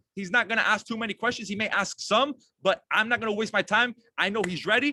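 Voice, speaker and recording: An energetic, bright, sharp male voice, high-pitched, raised and projected, very fast, with a dry, close sound with no echo. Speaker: network marketing team leader. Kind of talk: online team training call.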